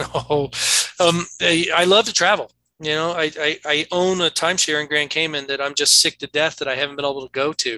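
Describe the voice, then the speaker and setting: A man with an American accent speaks at a fairly high pitch and a fairly quick pace, in a bright, sharp tone. His intonation is fairly even, and the sound is dry and close with no echo. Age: 50s. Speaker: toxicologist. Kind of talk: interview.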